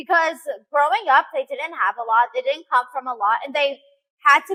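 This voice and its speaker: A woman's high, bright, sharp voice with an American accent, raised and projected at a moderate pace, dry and close with no echo. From US, child of Russian-Uzbek immigrants. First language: Russian. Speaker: fitness influencer and game show contestant. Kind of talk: casual interview.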